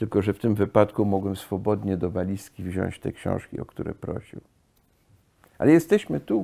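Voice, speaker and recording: In a quiet setting, a man talks at a moderate pace in a dark, mellow tone. His pitch is fairly low, with ordinary variation. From US (California) and France. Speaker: son of a famous poet; guest. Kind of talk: casual conversation on a guided tour; interview conversation, reminiscing. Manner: halting. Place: home room.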